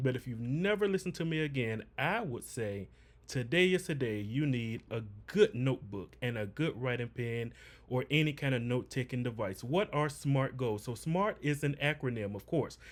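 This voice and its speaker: A man at medium pitch, animated in tone, with lively intonation. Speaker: business coach. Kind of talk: livestream tutorial. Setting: livestream. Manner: fast.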